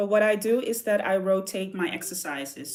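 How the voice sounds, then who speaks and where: An American accent comes through. It belongs to a woman. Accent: American-sounding English. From southern Netherlands. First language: Dutch. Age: 40s. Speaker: artist. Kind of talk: casual livestream chat. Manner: animated.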